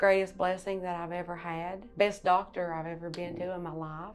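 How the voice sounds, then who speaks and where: With music in the background, a woman in a Tennessee accent talks at a moderate pace and fairly low pitch, her intonation monotone and flat while her loudness swings widely. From US South, Bluff City, Tennessee. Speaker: patient. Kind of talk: testimony.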